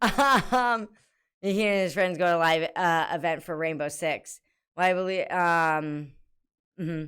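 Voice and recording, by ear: Slow and fairly low in pitch, a woman speaks with ordinary pitch variation and a clear, smooth, fairly bright tone.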